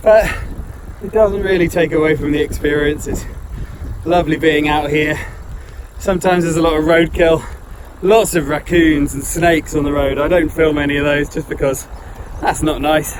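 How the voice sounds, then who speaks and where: Speaking at a moderate pace with long, frequent pauses, a man's fairly high voice keeps a fairly even intonation over noticeable background noise. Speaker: adventurer on a bike tour. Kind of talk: video diary talk to camera. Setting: outdoors.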